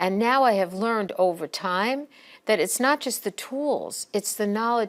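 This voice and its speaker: With a normal speaking voice, a woman at medium pitch talks at a moderate pace with lively intonation over a very clean recording and a silent background. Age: 60s. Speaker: professor and program director. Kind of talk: recorded presentation. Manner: conversational.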